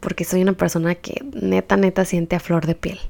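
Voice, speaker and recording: A woman speaks at a moderate pace. Her voice is medium in pitch, with a dark, mellow tone. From Baja California, Mexico. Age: 20s. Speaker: podcast host. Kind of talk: podcast introduction monologue.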